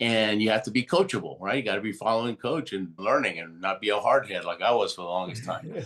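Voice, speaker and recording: The speaker talks with a Spanish accent and ordinary pitch variation. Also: man. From Argentina. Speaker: Olympic athlete and motivational speaker. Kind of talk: interview storytelling.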